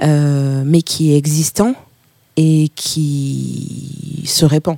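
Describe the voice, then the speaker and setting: The speaker is a woman with a very deep, low pitch. Her voice sounds dry and close, with no echo. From Burkina Faso. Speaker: music booker and publisher. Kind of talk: interview. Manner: hesitant, many fillers.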